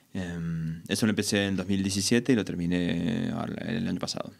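A man speaks with a normal speaking voice at a fairly low pitch. His intonation is fairly even. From Argentina. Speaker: electronic music producer. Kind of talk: casual interview. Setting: studio.

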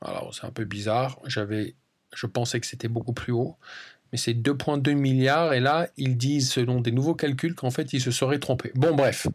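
In a very clean recording with a silent background, a man with a plain, everyday voice talks at a fairly slow pace, medium pitch and fairly even intonation. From France. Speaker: language-learning podcast host. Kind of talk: casual solo monologue for learners.

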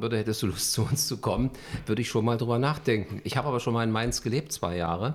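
A man of medium pitch speaks with ordinary pitch variation in a plain, everyday voice. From Berlin (Charlottenburg, West Berlin). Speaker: journalist and TV news anchor. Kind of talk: interview.

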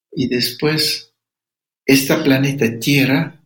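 A somewhat breathy man's voice at a very slow pace. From Ecuadorian Amazon, Sapara people. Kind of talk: interview.

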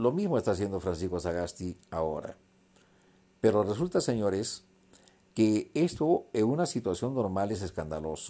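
On a very clean recording with a silent background, a man speaks at a moderate pace. His dark, mellow voice sits fairly low in pitch and moves in very wide pitch swings. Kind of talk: angry political rant, denunciatory monologue. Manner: indignant, accusatory, loud; halting, repeats words.

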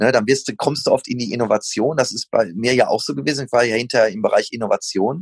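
Very fast delivery with hardly any pauses. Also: man. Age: 40s. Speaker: running shoe company founder. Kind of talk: casual interview.

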